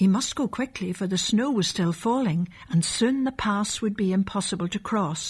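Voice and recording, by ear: Someone reads aloud in a natural voice.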